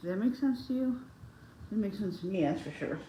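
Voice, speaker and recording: A woman at medium pitch speaks in a dark, mellow, somewhat breathy voice with audible room echo. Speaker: beauty vlogger. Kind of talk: casual chat. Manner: halting.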